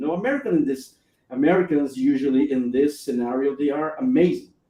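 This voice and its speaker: A man speaks with a Brazilian accent at a moderate pace. His pitch is fairly high and varies in an ordinary way. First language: Portuguese. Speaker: live stream host. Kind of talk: live stream chat. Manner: halting.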